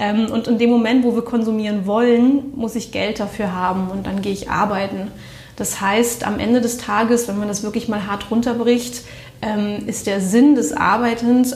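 Through noticeable background noise and audible room echo, a woman speaks at a fairly high pitch with fairly even intonation. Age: 30s. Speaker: management consultant, former intensive care nurse. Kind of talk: interview. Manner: hesitant, many fillers.

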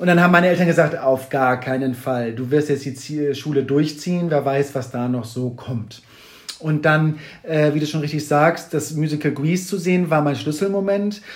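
A normal speaking voice moves at a moderate pace. The pitch shifts in an ordinary manner. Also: man, fairly high pitch for a man. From northern Germany, Kiel. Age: 40s. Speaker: toy collector and exhibition artist, former musical performer. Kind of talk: podcast interview. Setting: in person at guest's place in Hamburg.

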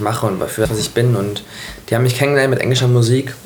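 A man with a medium pitch is heard with audible room echo and noticeable background noise. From Hanover, northern Germany. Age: 20s. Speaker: pop singer. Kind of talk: casual interview.

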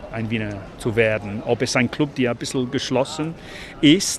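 A man with an English accent speaks over noticeable background noise. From England (London and Leeds), Irish parents. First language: English (speaking German). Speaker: urbanist and city walk guide. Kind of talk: casual interview during a walk. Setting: outdoors, walking through the city. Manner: halting, repeats words.

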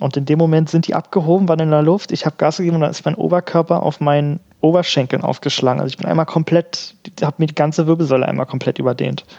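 A man's fairly high-pitched, dark and mellow voice at a very fast pace, fairly even in intonation, dry and close with no echo. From Berlin. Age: 20s. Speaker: wheelchair tennis player and student. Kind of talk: casual interview. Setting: remote call.

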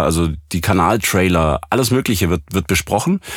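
A man at a moderate pace. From Swabia, southwest Germany. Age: 30s. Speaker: professional voice actor and audio engineer. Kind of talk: casual interview.

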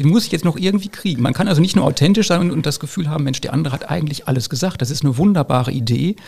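A man's somewhat breathy voice, fairly high in pitch, with lively intonation and a very fast pace. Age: 50s. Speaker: school principal. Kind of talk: casual chat.

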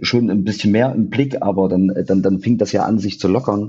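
His voice sits fairly low for a man. The intonation holds fairly even. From Thuringia, eastern Germany (near Jena). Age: 30s. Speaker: rock band musician. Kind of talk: casual chat.

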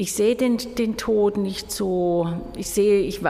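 A woman talks very slowly, her pitch varying in an ordinary way. Background noise is noticeable throughout. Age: 50s. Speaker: exhibition curator and festival organizer. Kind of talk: interview. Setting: museum during exhibition setup.

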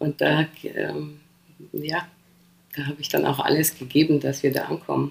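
A woman talks at a moderate pace with long, frequent pauses. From Poland, then rural Lower Bavaria near Passau from age 9. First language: Polish (speaking German). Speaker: DJ. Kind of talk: casual interview chat.

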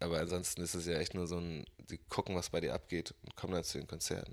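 Very fast speech from a man whose voice sits very deep and low. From northern Germany, Bremen. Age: 20s. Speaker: musician. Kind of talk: casual interview chat.

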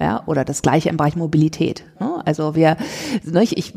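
A fairly low-pitched woman at a fairly quick pace, ordinary pitch variation, and noticeable background noise. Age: 50s. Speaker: author and social entrepreneur. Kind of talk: interview conversation. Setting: in person, Berlin.

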